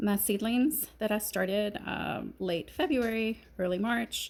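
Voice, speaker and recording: In a very clean recording with a silent background, a woman with a Kentucky accent speaks at a fairly high pitch with ordinary pitch variation. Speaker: gardening vlogger. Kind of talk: casual chat.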